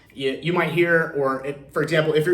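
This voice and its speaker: With an American accent, a man speaks at a fairly quick pace and a fairly high pitch. Noticeable background noise and audible room echo fill the recording. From US, Central Florida east coast. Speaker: real estate loan advisor and video host. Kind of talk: casual explainer video. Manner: many fillers and repeated words.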